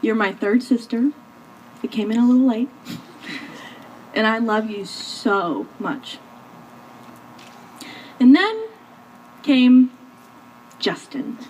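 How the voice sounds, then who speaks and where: Over noticeable background noise, a woman with a high pitch talks at a very slow pace, with long, frequent pauses and ordinary pitch variation. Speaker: maid of honor. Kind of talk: spoken word poetry wedding speech.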